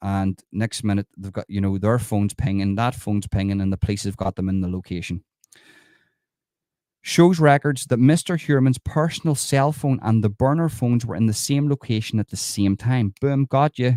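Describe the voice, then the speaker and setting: A man's dark, mellow voice at medium pitch in an Irish accent, moderate in pace with lively intonation, dry and close with no echo, on a very clean recording with a silent background. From Ireland. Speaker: true crime commentator. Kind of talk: livestream commentary reading news article. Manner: casual, conversational.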